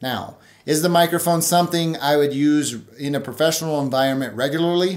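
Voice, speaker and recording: A man is speaking. His pace is moderate. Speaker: tech reviewer. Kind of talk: review commentary. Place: home room.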